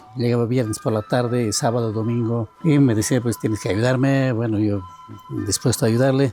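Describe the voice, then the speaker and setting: A man's medium-pitched voice stays fairly even in intonation as music plays behind him. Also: moderate pace. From Bolivian Altiplano, rural Oruro. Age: 70s. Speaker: agronomist and university professor. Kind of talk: interview testimony. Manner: halting, with self-corrections.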